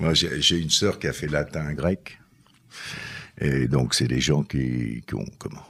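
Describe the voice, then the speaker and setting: Speaking very slowly with long, frequent pauses, a man uses a very deep, low pitch with vocal fry and ordinary pitch variation. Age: 70s. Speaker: former mason, author. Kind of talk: testimony interview. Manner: halting.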